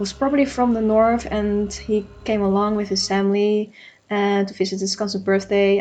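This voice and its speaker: Noticeable background noise surrounds a woman speaking. Her pitch is medium and her pace moderate. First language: non-native English speaker. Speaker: game artist and D&D player. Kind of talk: D&D session recap over speedpaint. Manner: hesitant, with fillers.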